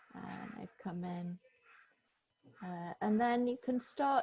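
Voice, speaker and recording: A woman's somewhat breathy voice at medium pitch, with ordinary pitch variation. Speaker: software trainer. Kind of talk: tutorial. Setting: video call.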